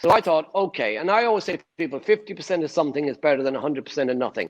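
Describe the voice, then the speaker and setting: A fairly high-pitched man with an Irish accent and ordinary pitch variation. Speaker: property investor. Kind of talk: interview answer.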